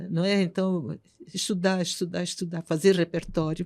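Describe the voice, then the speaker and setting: A woman speaks at a moderate pace in a dark, mellow tone, with a fairly low pitch and monotone, flat intonation. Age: 80s+. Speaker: concert pianist. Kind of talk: interview.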